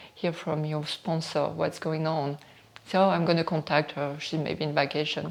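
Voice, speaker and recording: Her voice is very deep and low for a woman. She talks at a moderate pace in a monotone, flat intonation. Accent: strong French. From northern France. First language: French. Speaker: model and beauty entrepreneur. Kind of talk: interview testimony.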